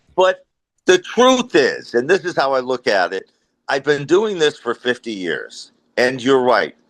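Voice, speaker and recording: With music in the background, a man with a fairly high voice swings his pitch very widely. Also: fairly slow pace, dry, close sound with no echo. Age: 70s. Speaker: race announcer. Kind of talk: interview.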